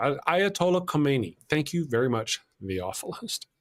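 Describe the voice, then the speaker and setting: A man speaks with a Texas accent. His fairly high voice makes very wide pitch swings. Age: 50s. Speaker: talk show host. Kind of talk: casual discussion.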